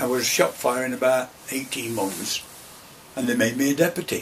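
A man talks with an East Midlands accent. Light background noise sits behind him. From Derbyshire / Nottinghamshire, England. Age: 80s+. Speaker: retired coal miner. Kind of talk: oral history interview answer. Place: office. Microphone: camera far.

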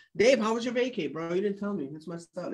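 A man with a high voice speaks in an animated way, his pitch swinging very widely, while faint music plays behind him. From Ukraine. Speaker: stock trading coach. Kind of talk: livestream market review. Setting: live stream. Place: office. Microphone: webcam.

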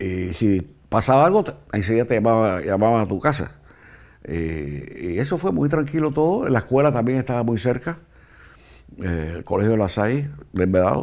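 Against a quiet background, a man speaks at a moderate pace with very wide pitch swings. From Cuba, Havana. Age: 70s. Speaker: former political prisoner. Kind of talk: interview testimony. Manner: halting, with repetitions. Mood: calm, reminiscing. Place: studio. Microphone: lapel.

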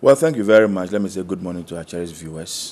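A man with a Ghanaian accent, very deep and low in pitch, with a dark, mellow tone. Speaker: political party official. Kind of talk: political panel debate. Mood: calm, persuasive. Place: studio.

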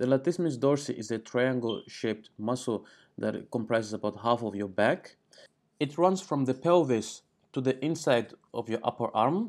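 Moderate pace and ordinary pitch variation from a man, the background quiet. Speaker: fitness educator. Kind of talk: tutorial. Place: home room.

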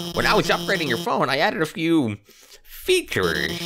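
A man puts on a character voice with a high pitch. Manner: nervous, rambling, awkward.

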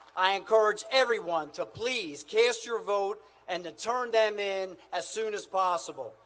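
Very slowly, a man projects a raised voice with a bright, sharp tone. His pitch is high and varies in an ordinary way. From US. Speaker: Senate candidate. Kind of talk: campaign rally speech. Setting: outdoor hangar rally with crowd. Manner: rousing, punchy attack lines. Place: hall. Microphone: podium.

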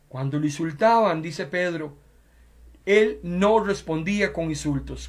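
Here a man speaks fairly slowly in a high pitch. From Costa Rica, San José; Costa Rica. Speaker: pastor. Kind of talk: sermon. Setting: web radio and Facebook Live broadcast. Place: home room. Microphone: headset.

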